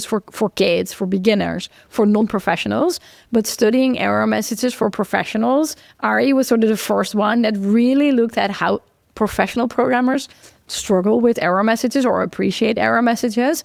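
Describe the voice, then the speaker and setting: Fairly quick speech in a Dutch accent. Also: woman, fairly high pitch for a woman, ordinary pitch variation, very even loudness. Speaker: computer science researcher. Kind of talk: casual interview conversation.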